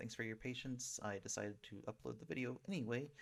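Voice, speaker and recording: A soft-spoken man at a fairly quick pace. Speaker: gaming streamer. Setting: home desktop setup. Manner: hesitant, many fillers.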